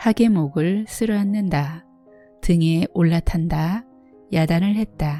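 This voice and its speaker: A woman speaks at a very slow pace, with music in the background. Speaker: audiobook narrator. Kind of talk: literary fiction reading. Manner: soft-spoken.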